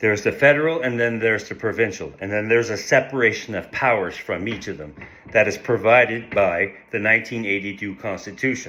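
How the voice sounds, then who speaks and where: Talking at a very fast pace, a man with a fairly low pitch swings widely in loudness. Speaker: First Nations political commentator. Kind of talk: casual social media monologue. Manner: animated; halting, with repetitions.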